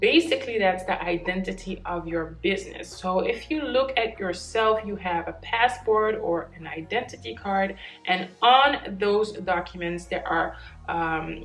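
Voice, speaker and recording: With a Dutch accent, a woman speaks at a fairly slow pace and medium pitch using lively intonation, amid noticeable background noise and audible room echo. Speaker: business YouTuber. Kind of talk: tutorial. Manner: casual, with self-corrections.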